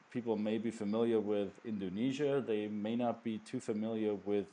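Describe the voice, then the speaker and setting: A man with a fairly low voice and a dark, mellow tone speaks at a moderate pace with fairly even intonation. The background is quiet. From Germany. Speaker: podcast host. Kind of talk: casual interview. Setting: video or phone call.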